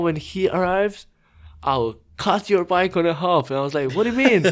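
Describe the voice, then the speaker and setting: A man with a Croatian accent at a moderate pace, on a very clean recording with a silent background. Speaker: professional BMX rider. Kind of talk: podcast interview.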